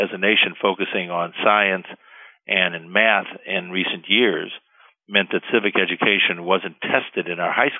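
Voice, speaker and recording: With fairly even intonation, a man talks in a very deep, low pitch. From Cuba. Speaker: lawyer, bar association president. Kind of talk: interview.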